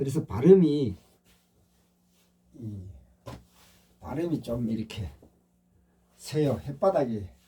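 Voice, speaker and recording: A man talks at a very slow pace with long, frequent pauses and very wide pitch swings. His medium-pitched voice is somewhat breathy, with a dark, mellow tone. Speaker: meditation/spiritual channel host. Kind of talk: casual monologue. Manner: slightly slurred pronunciation.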